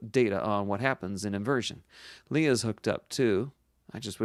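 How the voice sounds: The pitch varies in an ordinary way across a natural reading voice.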